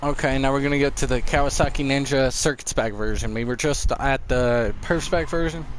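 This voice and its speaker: The delivery runs at a fairly quick pace with hardly any pauses. Intonation stays fairly even amid audible room echo. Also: man, fairly high pitch for a man. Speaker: gaming streamer. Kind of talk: live gameplay commentary. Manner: fast.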